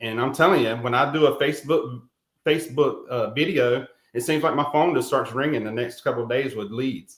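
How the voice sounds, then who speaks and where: Talking at a fairly quick pace with ordinary pitch variation, a man carries a slight Carolina accent. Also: medium pitch for a man. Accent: slight Carolina Southern. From South Carolina, Rock Hill. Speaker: real estate agent, veteran. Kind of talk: interview. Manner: halting, many fillers.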